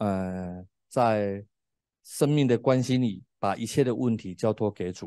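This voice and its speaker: Against a quiet background, a man speaks at a very slow pace in a dark, mellow tone, his fairly low pitch showing ordinary variation and the sound dry with no echo. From Taiwan, Tainan; Taiwan. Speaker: preacher and former drug addict. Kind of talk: sermon and testimony. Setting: classroom, streamed online. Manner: hesitant, many fillers. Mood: earnest, reflective. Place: studio. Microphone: handheld.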